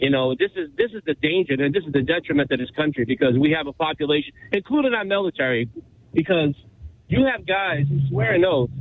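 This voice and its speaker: Speaking at a fairly quick clip, a man uses a fairly high pitch. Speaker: caller. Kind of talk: call-in opinion. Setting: phone call. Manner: animated.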